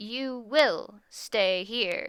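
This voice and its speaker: In a put-on character voice, a woman sounds raspy at a fairly high pitch. Her pitch varies in an ordinary way. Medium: read story. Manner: curt, commanding.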